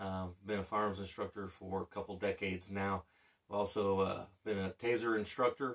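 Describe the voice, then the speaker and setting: A man speaks at a moderate pace against a quiet background. His fairly low voice has a bright, sharp tone and monotone, flat intonation. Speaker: channel host, former instructor. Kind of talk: casual vlog chat. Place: home room.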